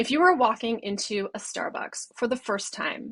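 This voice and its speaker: A woman's unremarkable speaking voice, fairly high in pitch, with an American accent, a fairly slow pace and ordinary pitch variation. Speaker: brand designer. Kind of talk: recorded presentation.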